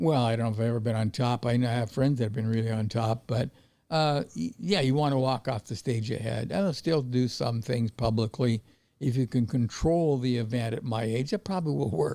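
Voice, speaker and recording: This man speaks with an American accent. His tone is dark and mellow, and his pace is fairly quick. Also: medium pitch for a man, ordinary pitch variation. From Montana, US. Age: 80s+. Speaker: veteran trader. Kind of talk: interview. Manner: halting.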